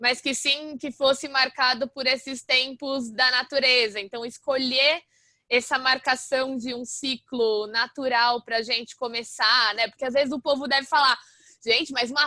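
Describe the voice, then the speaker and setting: A woman with a high pitch speaks in a raised, projected voice with a bright, sharp tone, at a moderate pace with ordinary pitch variation, in a dry, close sound with no echo and a quiet background. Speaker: university lecturer. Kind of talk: lecture. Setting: video call. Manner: loud.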